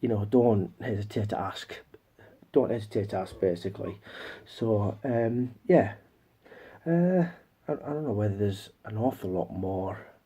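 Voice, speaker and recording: A man's fairly low, somewhat breathy voice with a dark, mellow tone, lively intonation, a moderate pace and long, frequent pauses. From northern England, Newcastle area. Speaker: YouTuber, movie collector. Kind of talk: casual haul video talk. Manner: halting, many repeats and fillers.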